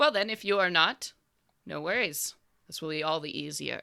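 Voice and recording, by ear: A woman's put-on character voice, low in pitch, with vocal fry and a clear, smooth, bright, sharp tone. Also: lively intonation, moderate pace.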